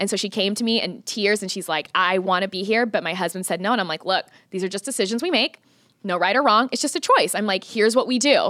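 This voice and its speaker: A woman with an American accent, very fast, with medium pitch, ordinary pitch variation and a bright, sharp tone, on a very clean recording with a silent background. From Missouri, US Midwest. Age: 20s. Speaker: lead trainer for hairstylists. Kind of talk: podcast interview. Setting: studio.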